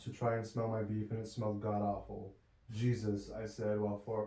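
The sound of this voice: A reading voice. It sounds unforced.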